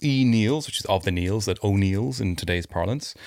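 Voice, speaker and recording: With an Irish accent, a man speaks at a fairly quick pace with lively intonation. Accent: mild Irish. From Ireland. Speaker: podcast co-host. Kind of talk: casual chat.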